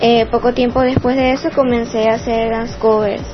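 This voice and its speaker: Noticeable background noise runs throughout. The speech moves at a moderate pace. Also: woman. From Venezuela, Puerto Ordaz, Bolívar. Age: 20s. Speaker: dancer and dance instructor. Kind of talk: prepared testimony.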